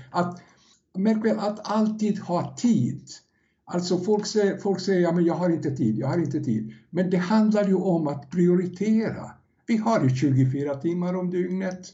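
Audible room echo surrounds a man speaking fairly slowly. His high-pitched voice has lively intonation. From Yugoslavia. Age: 70s. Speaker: first-time author, former salesman. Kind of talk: podcast interview. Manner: halting, repeats words.

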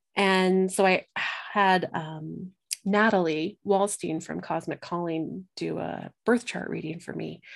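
On a very clean recording with a silent background, an unremarkable speaking voice with an American accent moves at a fairly slow pace with ordinary pitch variation. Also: woman. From Colorado. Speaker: astrologer and medium. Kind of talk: casual chat.

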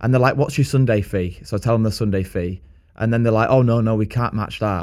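A man with a Lancashire accent speaks at medium pitch. His intonation is fairly even. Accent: Lancashire northern English. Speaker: podcast host and gigging musician. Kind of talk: casual chat.

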